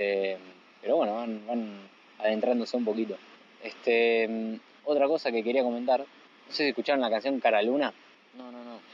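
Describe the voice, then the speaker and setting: A man's medium-pitched, a normal speaking voice, with fairly even intonation and a moderate pace. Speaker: podcast co-host. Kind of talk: casual chat. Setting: on the beach, phone recorder. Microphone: phone recorder.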